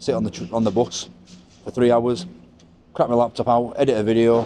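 There is light background noise behind a man with a dark, mellow tone. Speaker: travel vlogger. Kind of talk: casual vlog chat. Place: street. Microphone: lapel.

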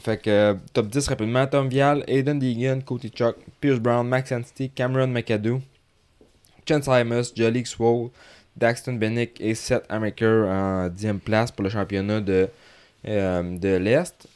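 A man with a Quebec accent speaks at a very slow pace, with a medium pitch and ordinary pitch variation. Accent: Québécois French. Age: 30s. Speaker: motocross coach and podcast host. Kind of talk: casual chat.

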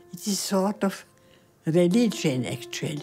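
A woman speaking at a very slow pace, with faint music in the background. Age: 80s+. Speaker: pianist and Holocaust survivor. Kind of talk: interview answer. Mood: reflective, calm. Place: home room.

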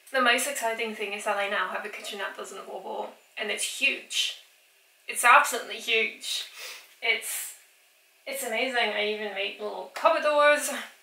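Audible room echo surrounds a woman talking at a moderate pace, her pitch varying in an ordinary way. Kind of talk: casual vlog chat. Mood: cheerful, amused. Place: kitchen. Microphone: camera far.

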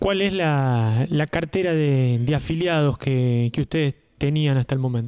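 At a fairly slow pace, a man speaks with a dark, mellow tone at a fairly high pitch. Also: ordinary pitch variation, very even loudness. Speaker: local radio interviewer. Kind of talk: interview. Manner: halting, many repetitions.

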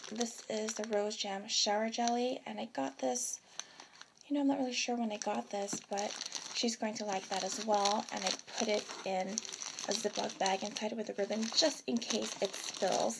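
A woman speaks at a moderate pace with ordinary pitch variation against loud background noise. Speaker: vlogger. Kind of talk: casual vlog chat. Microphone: phone near.

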